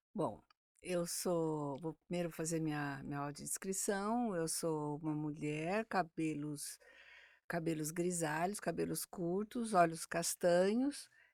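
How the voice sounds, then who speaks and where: On a very clean, dry, close recording with a silent background and no echo, a woman speaks very slowly at a fairly low pitch with ordinary pitch variation. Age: 60s. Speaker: speech therapist. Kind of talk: interview.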